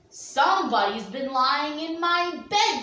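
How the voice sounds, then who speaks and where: Using a put-on character voice, a woman growls at a high pitch and a fairly slow pace, with slight echo. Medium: read story.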